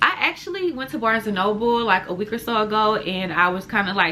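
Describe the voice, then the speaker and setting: With noticeable background noise around her, a woman talks at a fairly high pitch. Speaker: crochet vlogger. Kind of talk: casual vlog chat. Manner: fast; animated.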